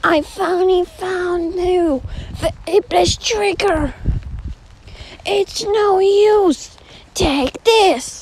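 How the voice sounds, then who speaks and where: An extremely high put-on character voice at a very slow pace, with long, frequent pauses. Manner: determined.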